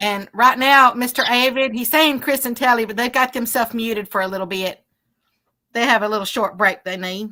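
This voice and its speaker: A woman speaks loudly at a fairly quick pace, her fairly high voice bright and sharp in tone with ordinary pitch variation. The recording is very clean, with a silent background. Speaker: livestream co-host reading chat. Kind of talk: casual chat on a fishing livestream. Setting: outdoors on a river.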